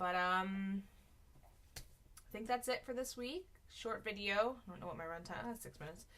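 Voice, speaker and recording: A woman with an unremarkable speaking voice talks at medium pitch and a moderate pace, with big swings in loudness. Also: ordinary pitch variation. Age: 30s. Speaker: weight-loss vlogger and teacher. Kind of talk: casual vlog. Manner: rambling with many fillers.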